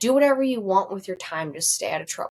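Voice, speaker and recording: Putting on a character voice, a woman talks at a very fast pace in a fairly high pitch. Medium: read story. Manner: terse, rough.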